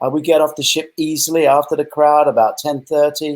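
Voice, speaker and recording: A man speaks with an English accent at a moderate pace. His pitch is fairly high. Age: 60s. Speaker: retired film director and novelist. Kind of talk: interview.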